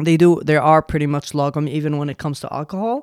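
A fairly high-pitched man's voice with an Arabic accent at a very fast pace, in a very clean recording with a silent background. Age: 20s. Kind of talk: casual chat.

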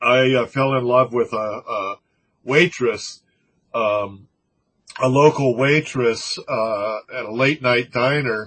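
At a very slow pace, a man speaks at a medium pitch with fairly even intonation. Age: 60s. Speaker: artist and filmmaker. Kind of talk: interview.

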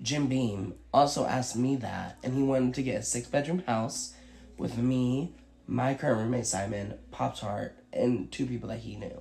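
The voice is dark and mellow, somewhat breathy, moving at a moderate pace with ordinary pitch variation. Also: man, medium pitch for a man. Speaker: podcast co-host. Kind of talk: casual chat.

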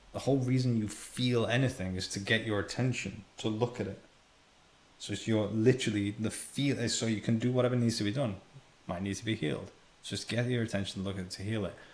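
With noticeable background noise, a man talks at a very fast pace in a medium pitch, his intonation fairly even. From Iran. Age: 30s. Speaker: emotional healing coach. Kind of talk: casual chat.

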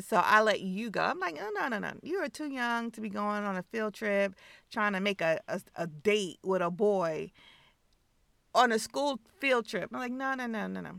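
Here is a woman with a plain, everyday voice, medium pitch and lively intonation. She keeps a moderate pace on a very clean recording with a silent background. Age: 50s. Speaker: podcast co-host, mother. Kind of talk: casual chat.

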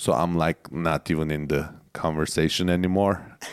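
A man with a Turkish accent talks at a fairly slow pace in a very deep, low pitch. The sound is dry and close, with no echo. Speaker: stand-up comedian. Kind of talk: casual chat. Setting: studio.

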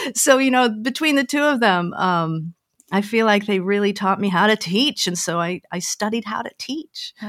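Speaking in an American accent with an unremarkable speaking voice, a woman uses lively intonation at a medium pitch and a moderate pace, on a very clean recording with a silent background and a dry, close sound with no echo. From Colorado, US. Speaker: violinist and music teacher. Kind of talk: interview.

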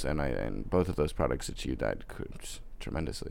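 Soft-spoken and with vocal fry, a man with a very deep, low pitch talks at a moderate pace and ordinary pitch variation in a room with audible echo. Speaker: barber. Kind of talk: casual chat.

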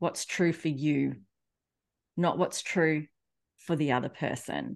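In an Australian accent, a woman speaks at a fairly slow pace against a quiet background. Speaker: relationship coach. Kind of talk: casual interview.

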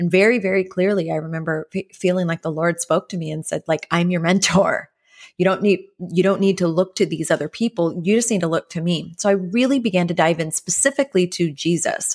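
A woman speaks fairly quickly in an unremarkable speaking voice, fairly low in pitch with ordinary pitch variation. The recording is very clean, with a silent background. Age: 40s. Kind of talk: casual chat.

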